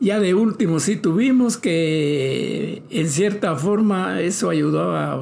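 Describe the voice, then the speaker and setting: A man with a Guatemalan accent talks with hardly any pauses and lively intonation. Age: 70s. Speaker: retired entrepreneur. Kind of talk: interview.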